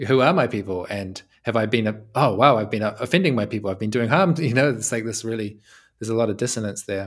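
A man talks at a very fast pace with a medium pitch and ordinary pitch variation. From New Zealand. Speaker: community facilitator and co-founder. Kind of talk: interview conversation.

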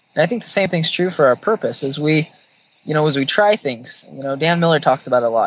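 A man with an American accent talks at a very fast pace and a fairly high pitch. Noticeable background noise runs underneath. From central Washington State, rural farm. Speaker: HR services company employee. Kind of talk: casual interview chat.

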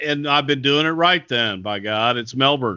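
A man's fairly high, lively voice with a Texas accent, at a very slow pace.

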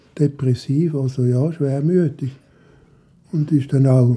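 Speaking at a fairly slow pace, a man has a fairly high pitch, a dark, mellow, somewhat breathy tone and fairly even intonation. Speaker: retiree. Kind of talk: personal storytelling.

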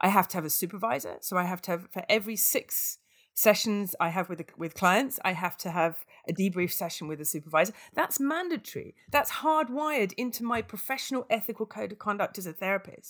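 In a British accent, a woman speaks fairly quickly at a medium pitch with lively intonation, on a very clean recording with a silent background. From UK. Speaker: aid worker. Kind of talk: interview conversation.

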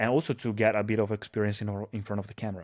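A man with an Italian accent speaks at medium pitch. The recording is very clean, with a silent background. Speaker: social media influencer. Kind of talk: casual chat.

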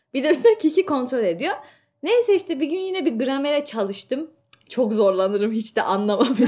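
A woman talks at a fairly quick pace in a high pitch, her dark, mellow tone swinging very widely up and down. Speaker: student and podcast co-host. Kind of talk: casual chat.

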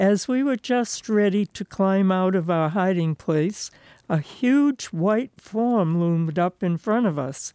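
A woman speaks very slowly at a medium pitch, her tone dark and mellow with lively intonation. The sound is dry and close with no echo, over a quiet background. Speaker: writer reading own work. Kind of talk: literary short story reading, childhood memoir read aloud.

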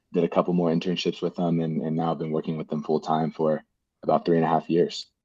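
With an American accent, a man talks at a very fast pace. His pitch is very deep and low. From Houston, Texas. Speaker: tech programs manager. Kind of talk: casual interview. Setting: studio.

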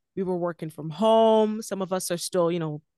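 Here a woman speaks at a medium pitch and a fairly quick pace with ordinary pitch variation, an unremarkable speaking voice. The sound is dry and close, with no echo. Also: quiet background. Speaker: podcast host as guest. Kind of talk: casual interview chat.

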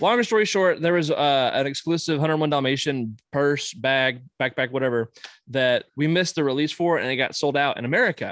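Over a quiet background, a man with an unremarkable speaking voice talks at a fairly quick pace, fairly high in pitch with ordinary variation and very even loudness. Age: 30s. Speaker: collector. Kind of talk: casual chat; news reading.

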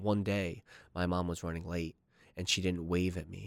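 A man's very deep, low voice with an American accent, flat and monotone, in a dry, close sound with no echo. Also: very clean recording, silent background. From New Jersey. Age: 20s. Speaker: student and cigar shop worker. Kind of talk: casual interview. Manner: halting.

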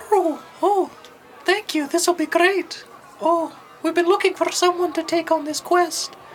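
A squeaky, female-sounding put-on character voice at an extremely high pitch moves at a moderate pace over clear background noise. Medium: actual play.

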